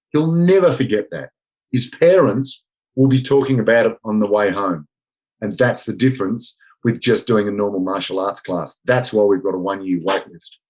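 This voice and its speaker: Speaking with an Australian accent, a man of medium pitch moves at a moderate pace with lively intonation and big swings in loudness. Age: 60s. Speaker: martial arts instructor. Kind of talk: podcast interview.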